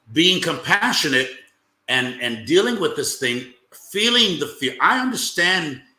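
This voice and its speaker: A man with an American accent, bright and sharp in tone, his pitch swinging very widely at a fairly slow pace, with audible room echo. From United States. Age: 60s. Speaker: bishop, panel guest. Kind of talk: panel discussion.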